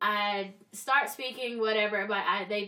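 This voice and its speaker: A woman's raised, projected voice with a bright, sharp tone, at a fairly slow pace. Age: 20s. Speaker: podcast host and life coach. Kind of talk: casual chat. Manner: scripted narration.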